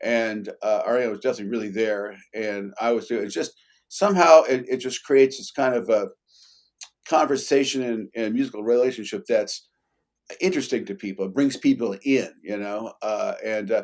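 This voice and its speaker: This is a man speaking at medium pitch. His pitch variation is ordinary. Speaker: bassoonist. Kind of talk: casual chat. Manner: fast.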